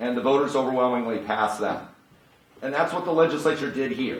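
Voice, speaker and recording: Medium-pitched male speech with ordinary pitch variation, noticeable background noise and audible room echo. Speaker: activist arguing his own case in court. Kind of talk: courtroom oral argument. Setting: courtroom. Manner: loud.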